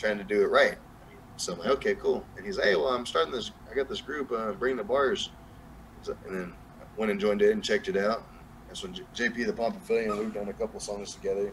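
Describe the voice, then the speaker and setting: Speech comes at a very fast pace with very wide pitch swings and big swings in loudness. Noticeable background noise can be heard. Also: man, medium pitch for a man. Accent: Southern US. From New Mexico, US. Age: 30s. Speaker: music artist. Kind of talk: casual interview chat. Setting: live stream, video call.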